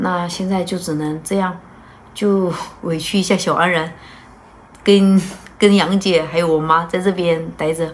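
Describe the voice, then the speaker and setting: A woman speaks at a fairly slow pace, with long, frequent pauses. Her intonation is monotone and flat, and her pitch sits fairly low. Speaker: vlogger mother. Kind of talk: casual vlog chat. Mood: calm, slightly apologetic. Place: home room. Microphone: camera far.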